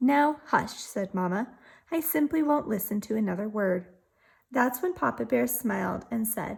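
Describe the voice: Someone does plain reading aloud. The intonation rises and falls in a lively way.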